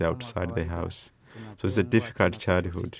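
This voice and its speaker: The speaker is a man with a Tanzanian accent. The recording is very clean with a silent background. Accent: Tanzanian English, Swahili-accented. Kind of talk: interview, spoken English.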